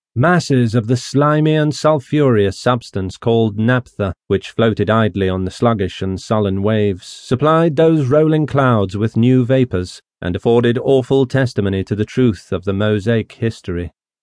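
A man with a normal speaking voice talks at medium pitch and a moderate pace, with ordinary pitch variation and hardly any pauses. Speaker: audiobook narrator. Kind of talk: dramatic audiobook narration of a classic novel, rich archaic prose read aloud. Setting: studio. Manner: measured, solemn storytelling pace; grave, ominous tone building dread over the Dead Sea scene.

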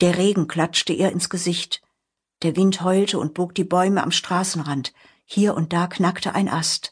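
A woman at a medium pitch, somewhat breathy, at a very slow pace over a quiet background. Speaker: audiobook narrator. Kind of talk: dramatic audiobook narration of a horror story, with voiced character dialogue. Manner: suspenseful, hushed, building tension; expressive, shifting between narration and character lines.

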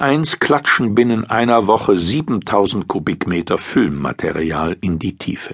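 The speaker's pitch swings very widely at a fairly slow pace. There are hardly any pauses. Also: man, fairly low pitch for a man. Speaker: audiobook narrator. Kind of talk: formal newsreading, scripted article narration. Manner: formal; even, measured.

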